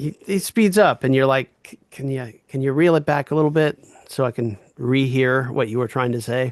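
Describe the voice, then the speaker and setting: Dry and close with no echo, the recording captures a man with a normal speaking voice. His pitch is medium, his pace moderate, and his pitch variation ordinary. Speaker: reading group leader. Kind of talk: reading group discussion.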